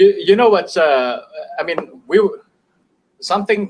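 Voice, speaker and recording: A man with an Indonesian accent at a fairly quick pace. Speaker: business owner. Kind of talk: casual chat. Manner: halting.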